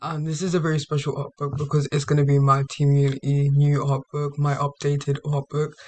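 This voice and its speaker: The voice is somewhat breathy and moves at a fairly quick pace with hardly any pauses and monotone, flat intonation, in a dry, close recording with no echo. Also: man, fairly high pitch for a man. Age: young. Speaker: gaming YouTuber. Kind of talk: casual talk to camera.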